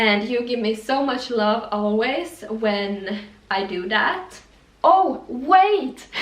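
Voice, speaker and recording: In a Swedish accent, a woman with a fairly high pitch and lively intonation speaks at a very slow pace, with audible room echo and noticeable background noise. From Finland, Swedish-speaking. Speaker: fashion youtuber. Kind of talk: styling tutorial vlog. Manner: casual, some false starts.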